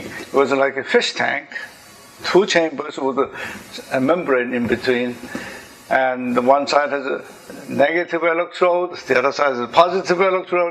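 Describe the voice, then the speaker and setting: Noticeable background noise runs under this recording. A man speaks at a fairly slow pace in a fairly high pitch with ordinary pitch variation. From Korea. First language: Korean. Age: 70s. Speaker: engineer and inventor. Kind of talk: talk to an audience.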